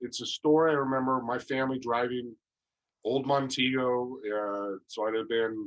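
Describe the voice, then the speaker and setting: Fairly even intonation in an American accent over a quiet background. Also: man. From Northern California, US. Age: 60s. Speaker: entrepreneur. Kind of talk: interview.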